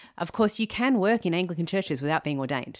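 This clip features a woman with an Australian accent. Its background is silent and the recording very clean. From Australia, Sydney. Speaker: theologian and author on singleness. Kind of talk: podcast interview. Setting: in person, host's home. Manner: frequent fillers.

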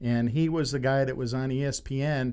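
There is audible room echo as a man speaks at a fairly slow pace and medium pitch. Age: old. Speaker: sports podcast host. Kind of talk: casual chat. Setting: studio. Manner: animated.

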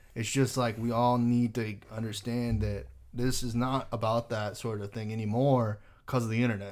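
Moderate pace, medium pitch and monotone, flat intonation from a man with an American accent. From Texas. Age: 20s. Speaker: esports content creator. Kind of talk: casual chat.

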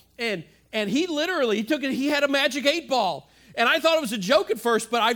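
A man talks at a very fast pace in a raised, projected voice. His tone is bright and sharp. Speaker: pastor. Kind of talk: sermon. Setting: church with live audience. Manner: halting with frequent repetitions and fillers.

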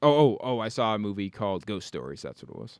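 A man with a fairly low pitch talks at a fairly quick pace with lively intonation. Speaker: podcast host. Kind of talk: casual banter. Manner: hesitant, filler-heavy.

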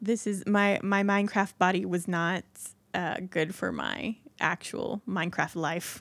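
Using vocal fry, a woman with an American accent speaks fairly slowly at a medium pitch with fairly even intonation. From Indiana. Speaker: podcast co-host. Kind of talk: casual chat.

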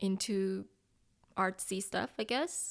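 A woman with a Korean accent speaks at a medium pitch. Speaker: pastor's wife, church member.

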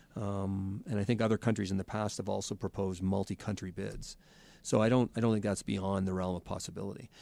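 A man with a Canadian accent speaks at a very fast pace in a fairly low, dark, mellow voice with monotone, flat intonation, on a very clean recording with a silent background. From Canada. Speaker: sports podcast co-host. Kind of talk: casual chat.

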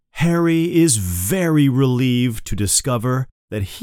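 Over a quiet background, the speaker reads in an unforced reading voice with lively intonation.

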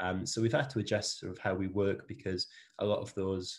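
A man's very deep, low voice at a fairly quick pace against a quiet background. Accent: Welsh. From South Wales. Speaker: managing director of a services company. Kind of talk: interview conversation.

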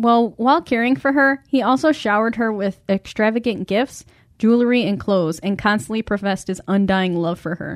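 Recorded very cleanly with a silent background and a dry, close sound with no echo, a woman of medium pitch talks at a fairly quick pace in a normal speaking voice with lively intonation. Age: 30s. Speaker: true crime podcast host. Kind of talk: casual chat.

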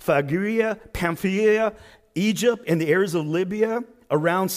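Plain reading aloud with ordinary pitch variation

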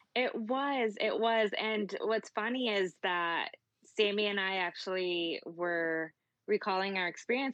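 A woman with a Spanish accent, medium in pitch, with ordinary pitch variation and a fairly slow pace. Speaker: pageant titleholder. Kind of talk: casual interview.

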